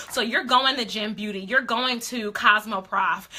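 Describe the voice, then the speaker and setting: A woman speaks in an animated tone with ordinary pitch variation. Noticeable background noise can be heard. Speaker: beauty influencer coach. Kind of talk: live stream coaching talk. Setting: live stream.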